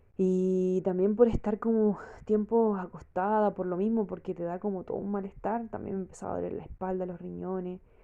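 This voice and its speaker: Speaking with a Chilean accent, a woman with medium pitch and a dark, mellow tone keeps a moderate pace and a monotone, flat intonation. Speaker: vlogger. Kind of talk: personal testimony. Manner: casual, hesitant with fillers.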